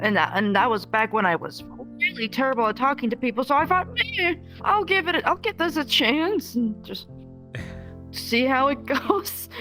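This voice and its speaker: Over music in the background, a woman speaks at a high pitch and a moderate pace with lively intonation. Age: 20s. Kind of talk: interview answer. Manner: soft-spoken.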